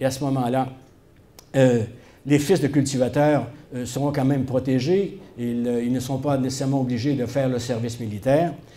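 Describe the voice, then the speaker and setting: A man's dark, mellow tone with fairly even intonation, long, frequent pauses and audible room echo. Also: medium pitch for a man, moderate pace. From Quebec, Shawinigan. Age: 70s. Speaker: historian. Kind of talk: public talk. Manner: hesitant, many filler sounds.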